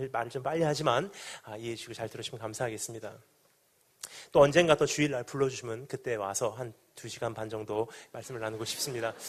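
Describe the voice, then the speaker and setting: Talking at a very fast pace, a man at medium pitch shows ordinary pitch variation and big swings in loudness. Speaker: pastor. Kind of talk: sermon.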